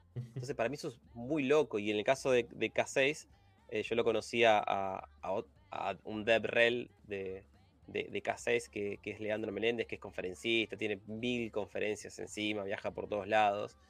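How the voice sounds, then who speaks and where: Talking at a fairly slow pace, a man speaks in a Rioplatense accent. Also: medium pitch for a man, ordinary pitch variation. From Argentina, Buenos Aires suburbs. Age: 30s. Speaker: software testing and automation specialist. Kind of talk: casual interview.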